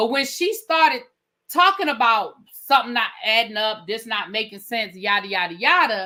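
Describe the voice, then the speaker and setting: On a very clean recording with a silent background, a woman with a DC accent speaks at a moderate pace in a fairly high, bright, sharp voice, animated, with very wide pitch swings. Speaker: TV review livestream host. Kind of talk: casual chat. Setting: live stream panel.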